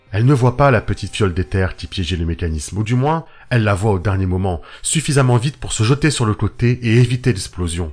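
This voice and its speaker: A man speaks in a dramatic tone, somewhat breathy. His pace is fairly quick and his intonation lively. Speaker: audio fiction narrator. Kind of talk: dramatic narration of a solo role-playing story, read as an audio saga. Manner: dramatic, building tension.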